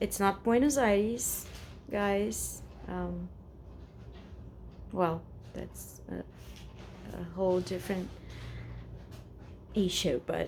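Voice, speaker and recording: A woman talks very slowly, leaving long, frequent pauses, while noticeable background noise fills the recording. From Brazil, São Paulo. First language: Portuguese. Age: 40s. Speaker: vlogger. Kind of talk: casual personal vent to camera. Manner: halting, many fillers and repetitions.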